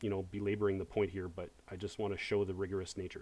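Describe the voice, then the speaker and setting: A man speaks in a dark, mellow tone with a fairly low pitch and fairly even intonation. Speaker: high school math teacher. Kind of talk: online lecture. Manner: fast; hesitant, many fillers.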